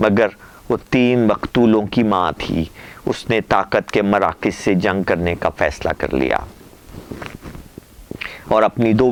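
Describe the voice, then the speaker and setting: Noticeable background noise behind a man at a fairly low pitch, with ordinary pitch variation. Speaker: columnist, poet, radio voice and vlogger. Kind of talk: letter reading, dramatic storytelling.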